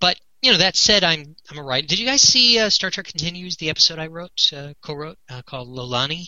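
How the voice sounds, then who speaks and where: A man with a high pitch, fairly quick pace and lively intonation, over noticeable background noise. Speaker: Star Trek set collector and fan project founder. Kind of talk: casual interview chat.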